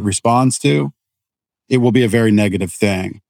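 A man has a plain, everyday voice at medium pitch with ordinary pitch variation. He speaks at a moderate pace in a dry, close sound with no echo. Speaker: podcast host. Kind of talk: interview conversation.

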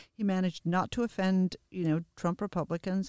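Talking at a fairly quick pace, a woman uses an unremarkable speaking voice pitched fairly low. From immigrant to the US. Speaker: political podcast co-host. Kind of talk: casual political discussion.

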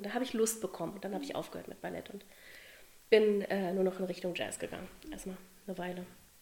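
A woman talks at a fairly quick pace in an animated tone, her pitch moving in an ordinary way. Noticeable background noise runs under the recording. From Berlin, Germany. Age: 40s. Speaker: dance teacher. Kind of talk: podcast interview.

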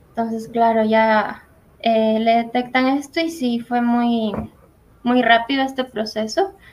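A very slow, fairly high-pitched woman's voice with ordinary pitch variation. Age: 20s. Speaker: graphic design graduate. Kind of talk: testimony.

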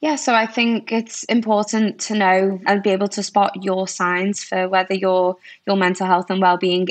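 Her intonation fairly even, a woman with a normal speaking voice keeps to a moderate pace at a medium pitch. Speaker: recruiter. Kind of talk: casual interview chat.

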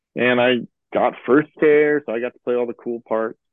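A man with an American accent has an unremarkable speaking voice, medium in pitch with ordinary pitch variation. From US Midwest, Chicago. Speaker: composer. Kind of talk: casual interview chat.

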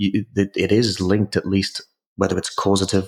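Talking at a fairly quick pace, a man with a very deep, low voice and a British accent keeps a monotone, flat intonation. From UK. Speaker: exercise science professor. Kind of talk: interview. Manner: hesitant, with many fillers.

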